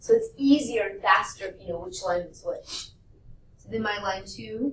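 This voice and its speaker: The pace is moderate as a woman talks. Room echo can be heard. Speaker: math teacher. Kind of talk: classroom lecture.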